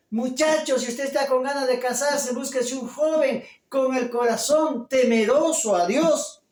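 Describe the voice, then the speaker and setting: With audible room echo, a man speaks at a fairly slow pace and an extremely high pitch, with hardly any pauses and fairly even intonation. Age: 50s. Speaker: pastor. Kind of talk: sermon.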